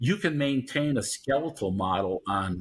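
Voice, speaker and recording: A man's somewhat breathy voice with lively intonation, in a very clean recording against a silent background. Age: 70s. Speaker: vitamin D researcher, professor. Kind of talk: interview.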